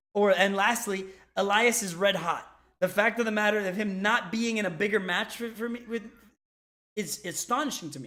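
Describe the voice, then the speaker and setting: A man's raised, projected voice, bright and sharp with a high pitch, holds fairly even intonation at a moderate pace while his loudness swings widely. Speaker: wrestling podcast panelist. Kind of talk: casual chat. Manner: halting, stuttering.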